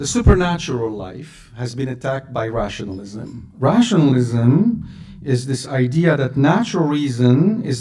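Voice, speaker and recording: Over music in the background, the speaker goes at a moderate pace with lively intonation and big swings in loudness. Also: man. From Lebanon. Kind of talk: religious lecture to live audience. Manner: blunt, direct.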